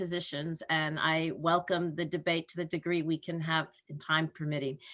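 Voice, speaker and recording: Speaking in an American accent, a woman has a bright, sharp tone. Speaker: health policy professor. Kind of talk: lecture. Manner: fast; animated.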